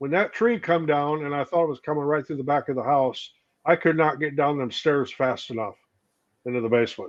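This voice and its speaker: Fairly high male pitch in an unremarkable speaking voice, its pitch variation ordinary. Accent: American. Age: 60s. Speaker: woodworker, panel co-host. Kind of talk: casual chat.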